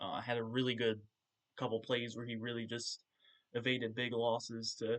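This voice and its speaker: A man talks at a medium pitch. His intonation is monotone and flat. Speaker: sports podcast host. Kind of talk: solo podcast game recap. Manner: hesitant, many filler words; loud at times.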